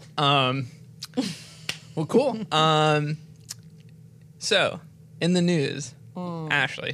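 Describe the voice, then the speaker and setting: A fairly high-pitched man with an American accent and ordinary pitch variation, at a very slow pace with long, frequent pauses. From US South, North Carolina. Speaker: podcast host. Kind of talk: casual chat. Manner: halting, many fillers.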